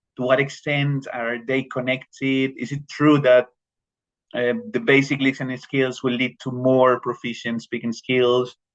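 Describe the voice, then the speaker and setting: A man with a Spanish accent at medium pitch, fairly slow and monotone with flat intonation. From Colombia. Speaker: teacher. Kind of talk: professional development presentation. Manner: halting, many repetitions and fillers.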